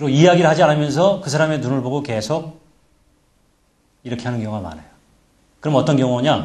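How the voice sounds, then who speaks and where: Talking at a very fast pace with long, frequent pauses, a man with a fairly high pitch sounds somewhat breathy, his loudness swinging widely amid audible room echo. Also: ordinary pitch variation. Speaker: presentation skills lecturer. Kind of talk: lecture.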